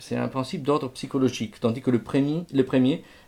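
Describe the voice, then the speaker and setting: A man's dark, mellow voice. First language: Italian (speaking French). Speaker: music lecturer. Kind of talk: lecture. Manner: halting, with frequent repetitions.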